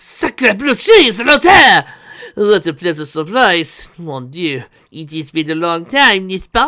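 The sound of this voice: A put-on character voice in a strong French accent, bright and sharp in tone, with big pitch swings at a slow pace. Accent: heavy French.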